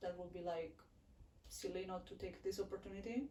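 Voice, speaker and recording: With a Neapolitan accent, a woman speaks at a medium pitch in a dark, mellow tone, with audible room echo. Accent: Italian (Neapolitan) accent in English. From southern Italy, Naples. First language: Italian. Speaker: international student. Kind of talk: casual interview chat. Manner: halting, many fillers.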